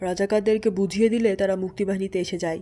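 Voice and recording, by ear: A natural read-aloud voice, its intonation fairly even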